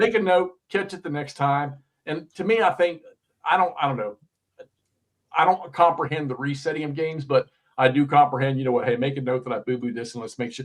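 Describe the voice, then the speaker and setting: Big swings in loudness mark this man's speech, which has ordinary pitch variation. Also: fairly high pitch for a man. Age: 60s. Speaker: wargaming video creator, show host. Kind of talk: casual chat. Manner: animated.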